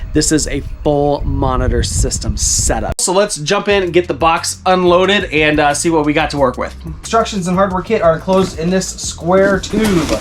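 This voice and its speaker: With music in the background, a man at high pitch speaks at a moderate pace with ordinary pitch variation and hardly any pauses. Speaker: RV lifestyle vlogger. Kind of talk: casual vlog.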